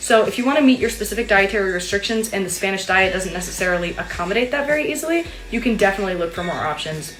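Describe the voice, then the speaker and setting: Lively intonation drives a very fast delivery, with audible room echo and music in the background. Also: woman. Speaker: study abroad student. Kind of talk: casual vlog Q&A. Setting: her room.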